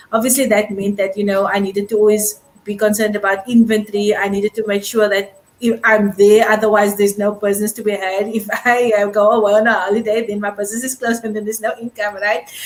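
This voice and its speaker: A woman talks at a very fast pace in a fairly high voice. Noticeable background noise runs behind her. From South Africa. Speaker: online business owner and host. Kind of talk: casual interview chat.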